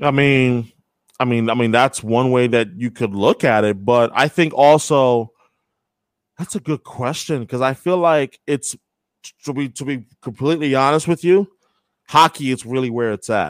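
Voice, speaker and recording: An unremarkable speaking voice at a moderate pace, with ordinary pitch variation. The sound is dry and close with no echo, in a very clean recording over a silent background. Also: man, medium pitch for a man. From New York. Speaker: sports radio host. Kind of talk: casual interview.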